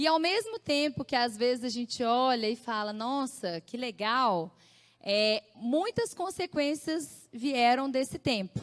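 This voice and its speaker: Speaking at a very slow pace, a woman uses a high pitch and lively intonation, with a dry, close sound with no echo. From Brazil, Belo Horizonte (Minas Gerais). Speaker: church speaker giving testimony. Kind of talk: testimony.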